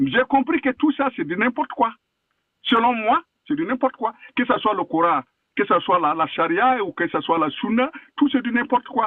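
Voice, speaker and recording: An animated tone at a moderate pace, with very wide pitch swings and long, frequent pauses. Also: man, extremely high pitch for a man. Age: 60s. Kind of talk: heated debate.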